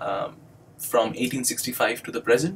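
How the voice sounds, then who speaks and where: A man speaks with an Indian accent. His pace is fairly quick. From India (Bengali-speaking). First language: Bengali. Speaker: doctoral student and English instructor. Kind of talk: educational video monologue. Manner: hesitant, many fillers.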